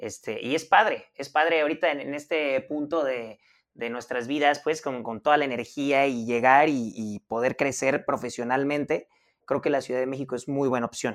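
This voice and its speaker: On a very clean recording with a silent background, a man with a normal speaking voice, pitched fairly high for a man, talks at a moderate pace with fairly even intonation. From Mazatlán, Sinaloa, Mexico. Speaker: podcast co-host. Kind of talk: casual interview.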